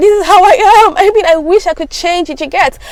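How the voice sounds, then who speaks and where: Her delivery moves at a fairly quick pace. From Africa. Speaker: lifestyle vlogger. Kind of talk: casual advice talk. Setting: home video recording. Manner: fast.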